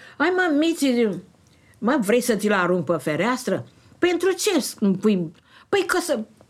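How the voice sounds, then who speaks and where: Very slow and broken by long, frequent pauses, a woman's high-pitched voice makes very wide pitch swings at very even loudness. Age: 80s+. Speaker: retiree, fanzine maker. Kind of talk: casual conversation, storytelling. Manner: animated.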